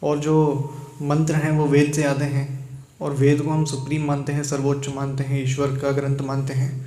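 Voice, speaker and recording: In a room with audible echo, a man speaks in a fairly high pitch with monotone, flat intonation and a somewhat breathy voice. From Karnataka, India. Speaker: meditation retreat participant. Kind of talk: testimony.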